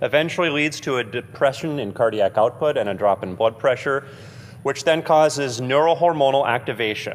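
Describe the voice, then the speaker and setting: At a moderate pace, a man with an unremarkable speaking voice talks in a medium pitch with ordinary pitch variation. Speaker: cardiology lecturer. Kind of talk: lecture.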